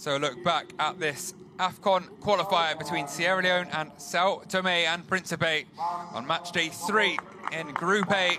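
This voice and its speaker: A man speaks at a fairly slow pace in a high pitch, with fairly even intonation. Noticeable background noise runs under the recording. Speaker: football commentator. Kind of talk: football match highlights commentary. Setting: voiceover over match highlights.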